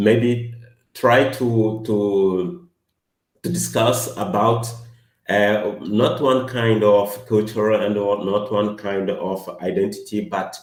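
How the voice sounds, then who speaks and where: Music plays in the background, and audible room echo surrounds a man with a non-native accent. He speaks very slowly with a fairly low pitch and fairly even intonation. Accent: non-native English speaker. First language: not English. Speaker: academic presenter. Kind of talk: academic workshop presentation and discussion. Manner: halting, many hesitations.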